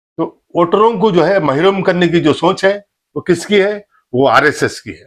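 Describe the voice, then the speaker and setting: A man talks at a moderate pace in a high pitch with ordinary pitch variation. His loudness swings a lot. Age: 60s. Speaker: political commentator. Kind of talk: political monologue.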